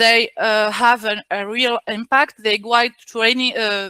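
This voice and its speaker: A bright, sharp tone with a non-native accent, dry and close with no echo. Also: woman. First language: not English. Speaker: invited speaker on workplace equality. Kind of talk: webinar presentation. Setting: video call webinar. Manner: halting, many fillers and restarts.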